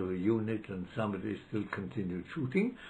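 At a fairly quick pace, a man is talking. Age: 90s. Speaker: law professor. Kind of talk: interview reminiscence; interview answer, reminiscence. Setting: library. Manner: halting.

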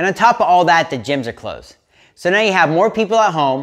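A man at a fairly quick pace, very wide pitch swings, quiet background. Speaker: fitness coach. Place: home room. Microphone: lapel.

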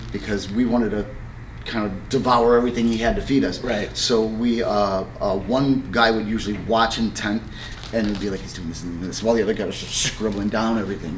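A man with a fairly low pitch and a plain, everyday voice talks at a fairly quick pace and with fairly even intonation against light background noise. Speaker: martial arts instructor. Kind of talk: interview answer. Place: gym.

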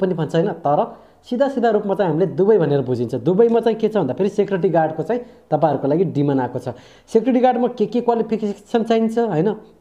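A man speaks against a quiet background. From Nepal. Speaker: YouTuber sharing overseas job updates. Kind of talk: casual vlog-style update. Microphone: lapel.

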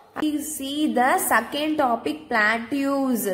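With music in the background, a woman speaks in a high pitch with ordinary pitch variation. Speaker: school teacher. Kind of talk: recorded lesson for pupils.

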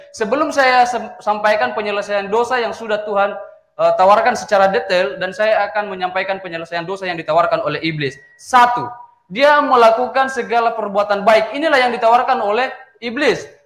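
Audible room echo surrounds a man whose high pitch carries lively intonation at a fairly quick pace. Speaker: Protestant debater. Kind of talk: theological debate. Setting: video call. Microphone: video call.

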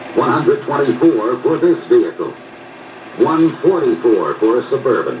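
There is clear noise in the background. A man is the one talking. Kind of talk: 1970s commercial film narration, scripted sales pitch. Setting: film soundtrack played in dealerships. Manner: formal, polished, authoritative, punchy and emphatic.

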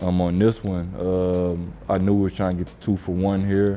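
Faint music plays behind a man whose very deep, low voice stays monotone and flat at a moderate pace. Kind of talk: interview answer, commentary on footage. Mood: calm, reflective. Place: home room.

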